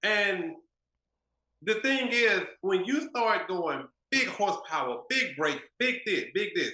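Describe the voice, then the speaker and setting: A man speaks in a raised, projected voice with an American accent, a bright, sharp tone, and high pitch. His pitch swings very widely while his loudness stays very even, at a very slow pace with long, frequent pauses. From Texas. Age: 40s. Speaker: car builder. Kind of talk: casual interview chat.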